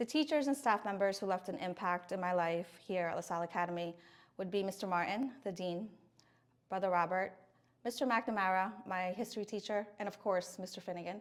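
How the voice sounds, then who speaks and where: With a Filipino accent, a woman talks at a fairly quick pace. Her pitch sits at a medium level with ordinary variation. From Philippines. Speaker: speech language pathologist, alumna. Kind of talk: interview testimony. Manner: hesitant with fillers.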